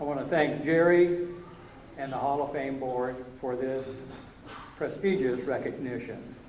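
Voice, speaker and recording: A man at a fairly slow pace with ordinary pitch variation, amid audible room echo and noticeable background noise. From Canada, Cape Breton Island, Nova Scotia. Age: 70s. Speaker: amateur baseball Hall of Fame inductee. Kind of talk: acceptance speech. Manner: hesitant, many fillers.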